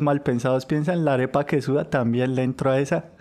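A man speaks in a fairly high pitch with fairly even intonation. The background is quiet. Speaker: podcast co-host. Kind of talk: casual chat.

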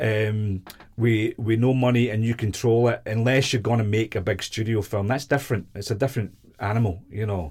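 A medium-pitched, somewhat breathy man with a Glaswegian accent, at a moderate pace and with fairly even intonation. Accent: Glaswegian Scottish. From Scotland, Glasgow. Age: 50s. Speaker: independent filmmaker. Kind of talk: casual interview chat.

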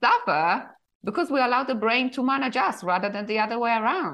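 Fairly quick speech with a Polish accent. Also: woman. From Poland. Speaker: author and midlife coach. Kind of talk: casual interview conversation.

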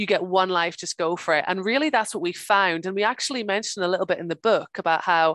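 A woman with a Northern Irish accent at a very fast pace, fairly low in pitch with ordinary pitch variation, in a dry, close sound with no echo against a quiet background. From Northern Ireland, near Belfast. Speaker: farmer and author. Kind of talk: interview. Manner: hesitant, with fillers and repeats.

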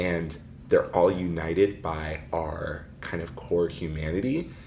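A man speaks at a fairly slow pace in a very deep, low pitch with ordinary pitch variation. There is audible room echo. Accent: American. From US Pacific Northwest, Seattle. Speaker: documentary filmmaker. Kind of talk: interview.

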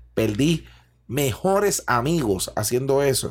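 Somewhat breathy, a man with a Puerto Rican accent holds a medium pitch with ordinary pitch variation. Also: very clean recording, silent background. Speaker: chef and podcast host. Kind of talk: casual chat. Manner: animated.

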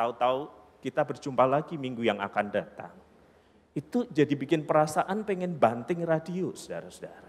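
Talking at a fairly quick pace, a man with a fairly high pitch uses lively intonation. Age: 40s. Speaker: preacher. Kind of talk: sermon. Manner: animated.

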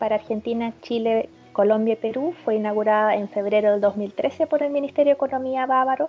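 Over music in the background, a woman speaks at a fairly quick pace with a fairly high pitch and ordinary pitch variation. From northern Germany. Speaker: trade representative. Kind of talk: interview.

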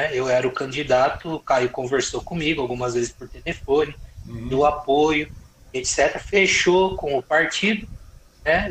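A man's speech comes at a fairly slow pace, its pitch varying in an ordinary way, with noticeable background noise behind it. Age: 40s. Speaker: lawyer and politician. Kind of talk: casual interview about politics.

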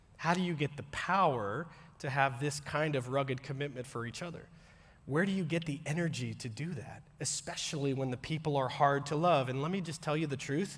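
A man's fairly high-pitched, somewhat breathy voice. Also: ordinary pitch variation, fairly quick pace. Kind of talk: sermon. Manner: conversational, direct, audience-engaging; earnest, plain-spoken with casual asides.

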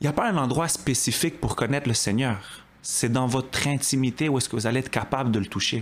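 This man has a plain, everyday voice at a medium pitch, with ordinary pitch variation and very even loudness. He talks at a fairly quick pace with hardly any pauses. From Quebec, Montreal (Côte-des-Neiges). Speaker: churchgoer giving testimony. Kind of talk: testimony.

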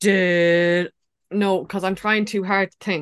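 A woman talks with an Irish accent. Her pace is fairly slow. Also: quiet background. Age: 30s. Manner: animated.

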